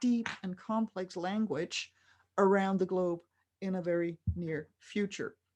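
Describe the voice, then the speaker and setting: A woman speaks in an ordinary speaking voice at a medium pitch with ordinary pitch variation. Her pace is fairly slow and the background quiet. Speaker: writer and futurist speaker. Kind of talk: lecture. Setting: stage with audience, interpreted.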